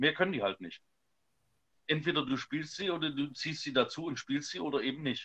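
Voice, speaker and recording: A man with a bright, sharp tone, vocal fry and a fairly high pitch talks at a fairly quick pace with ordinary pitch variation and long, frequent pauses. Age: 30s. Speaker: church musician, podcast co-host. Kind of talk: casual chat.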